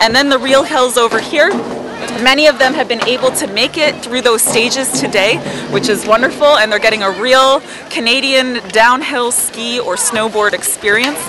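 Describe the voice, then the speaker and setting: A woman speaks at a moderate pace in a high voice with ordinary pitch variation. The sound is dry with no echo, with crowd noise in the background. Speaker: activities instructor acting as reporter. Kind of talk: news-style report. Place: open country. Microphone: handheld.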